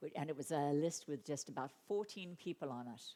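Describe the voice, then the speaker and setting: A woman talks at a fairly quick pace with lively intonation. She has a slight Australian accent. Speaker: animal advocacy speaker and author. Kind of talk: conference talk. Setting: conference stage with audience.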